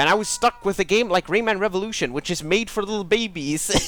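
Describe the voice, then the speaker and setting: With a Swedish accent, a man speaks at a fairly quick pace in an animated tone. Noticeable background noise runs under his voice. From Sweden. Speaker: gaming streamer. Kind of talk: live gameplay commentary. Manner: casual, halting with many restarts.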